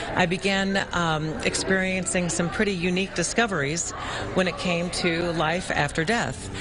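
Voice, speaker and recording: A woman talks at a moderate pace with hardly any pauses, very even loudness, fairly even intonation and a fairly low pitch, with noticeable background noise. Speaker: author. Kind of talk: live TV interview answer.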